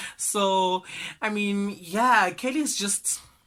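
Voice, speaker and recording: In a very clean recording with a silent background, a man uses a high pitch and an animated, bright, sharp tone. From South Africa. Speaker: entertainment news podcaster. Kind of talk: casual gossip commentary.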